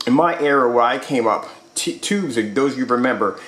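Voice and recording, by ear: A man speaks at a moderate pace with a fairly bright tone. Room echo is audible.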